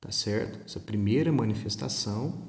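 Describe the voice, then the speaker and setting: At a moderate pace, a soft-spoken man talks. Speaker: history teacher. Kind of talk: recorded online lesson. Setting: recording at home. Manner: conversational.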